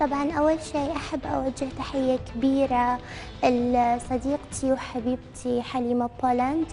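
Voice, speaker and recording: A woman's high-pitched, monotone, flat voice at a very slow pace with hardly any pauses, over noticeable background noise. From Iraq. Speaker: social media model. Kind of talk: TV interview. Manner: coquettish, affected; halting with fillers.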